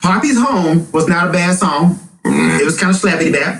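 Over music in the background, a man speaks in an animated tone with lively intonation. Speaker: podcast host. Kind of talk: casual banter about music. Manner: loud, animated.

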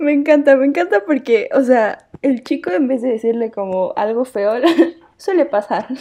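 A woman's high-pitched voice in a Mexican accent, dark and mellow in tone, with lively intonation. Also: moderate pace. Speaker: podcast co-host. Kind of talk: casual chat.

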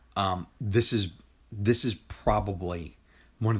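A man's very deep, low voice comes through somewhat breathy at a very slow pace, with fairly even intonation. The recording is very clean, the background silent. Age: 40s. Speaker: podcast host. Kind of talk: casual chat.

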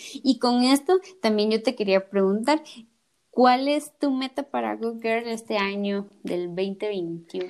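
Her pitch is fairly high, and a woman speaks at a very slow pace. Her intonation is lively. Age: 20s. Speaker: podcast host, architect. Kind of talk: casual interview chat.

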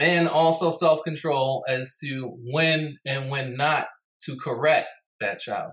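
Very slow and fairly even in intonation, a man with an American accent speaks in a fairly high pitch. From New York City, Brooklyn. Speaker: podcast host. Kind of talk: casual monologue with storytelling. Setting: livestream.

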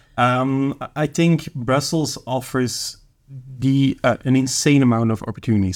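A man at medium pitch in a Flemish Belgian accent, with fairly even intonation, on a very clean recording with a silent background. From Flanders, Belgium. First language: Dutch. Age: 20s. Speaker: junior consultant. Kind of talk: casual chat.

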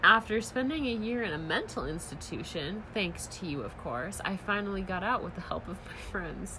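An unforced voice reads aloud with lively intonation.

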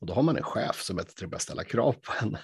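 A man talks at a very fast pace, somewhat breathy. The background is quiet. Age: 40s. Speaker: podcast host. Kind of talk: casual chat.

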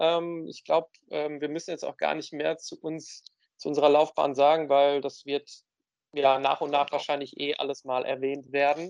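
A man with an ordinary speaking voice talks at a moderate pace and fairly high pitch, the sound dry and close with no echo. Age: 30s. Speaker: podcast co-host, works in film. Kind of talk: casual chat.

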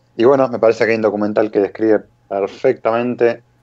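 A man with an Argentine accent talks in a fairly low pitch. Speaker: rally podcast co-host. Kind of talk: casual chat.

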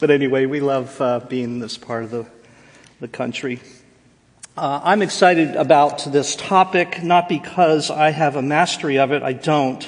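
Over noticeable background noise, a man with an American accent and a fairly high pitch speaks at a fairly slow pace, with ordinary pitch variation and long, frequent pauses. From US Northeast, Jersey Shore, New Jersey. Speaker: professor of biblical counseling. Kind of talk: seminar lecture.

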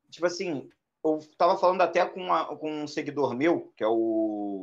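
In a quiet background, a man talks at a fairly quick pace with lively intonation. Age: 20s. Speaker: anime fan. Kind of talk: casual chat. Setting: live stream.

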